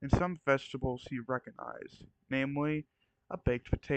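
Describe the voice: The intonation stays fairly even in this plain reading aloud. Nothing much sounds in the quiet background.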